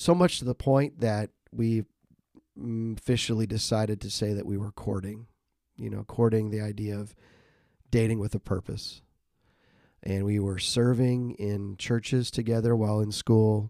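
A man talks at a fairly low pitch with a dark, mellow tone and fairly even intonation. His pace is moderate with long, frequent pauses, and the sound is dry and close with no echo. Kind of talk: casual interview, personal story.

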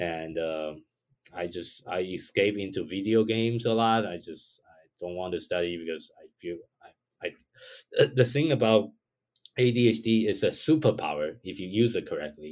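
With a Chinese accent, a man talks at fairly low pitch with lively intonation and big swings in loudness. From Taiwan. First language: Mandarin Chinese. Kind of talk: podcast interview.

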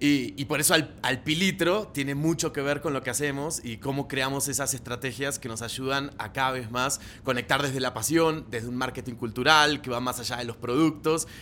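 A man speaks at a moderate pace in a bright, sharp tone, with a medium pitch, ordinary pitch variation and hardly any pauses. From Argentina. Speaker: marketing director. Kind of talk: casual interview. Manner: animated.

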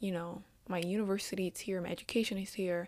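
Recorded very cleanly against a silent background, a woman with a Vietnamese accent speaks at a moderate pace and a medium pitch. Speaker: podcaster, university student and intern. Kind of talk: solo monologue podcast. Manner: hesitant, many ums.

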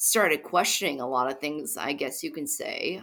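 Bright and sharp in tone, a woman speaks with lively intonation in an American accent. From Chicago. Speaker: radio host, former news reporter. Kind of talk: casual chat.

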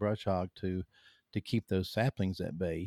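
This man has a Southern US accent and a dark, mellow tone, his intonation fairly even, captured with a dry, close sound with no echo on a very clean recording with a silent background. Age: 50s. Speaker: hunter and author. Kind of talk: casual interview conversation. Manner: halting, many fillers and repeats.

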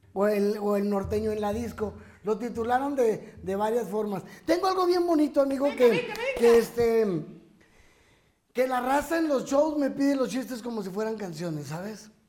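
An extremely high-pitched male voice with lively intonation at a moderate pace, plus audible room echo. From Chihuahua, northern Mexico. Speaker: comedian. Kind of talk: casual chat.

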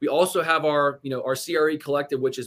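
Fairly high in pitch, a man speaks in a plain, everyday voice with an American accent, at a fairly quick pace and with fairly even intonation. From Indiana, US Midwest. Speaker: real estate investor. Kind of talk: interview.

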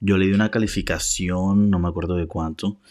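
Monotone, flat intonation comes through in a very clean recording with a silent background. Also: man. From Colombia. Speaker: film review podcaster. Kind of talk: casual monologue. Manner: fast.

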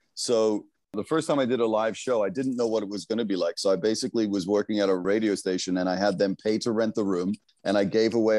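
The man's voice sits fairly low, with a dark, mellow tone and ordinary pitch variation. The sound is dry and close, with no echo. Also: quiet background. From England and Africa, then London. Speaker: music producer and live-stream music host.

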